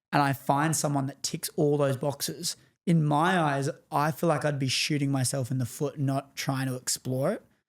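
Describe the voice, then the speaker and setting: Captured in a very clean recording with a silent background, a man with a fairly high voice and fairly even intonation talks at a moderate pace. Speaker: podcast host. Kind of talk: casual interview chat.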